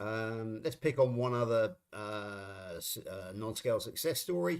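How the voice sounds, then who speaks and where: A man with a West Country accent, medium pitch and ordinary pitch variation. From England, Somerset. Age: 60s. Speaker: live stream co-host. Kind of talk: casual chat. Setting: live stream.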